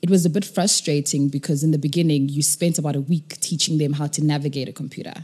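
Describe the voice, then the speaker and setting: A woman's very deep, low voice, dark and mellow and somewhat breathy, very fast with hardly any pauses and fairly even intonation. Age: 20s. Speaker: nonprofit co-founder. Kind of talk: interview.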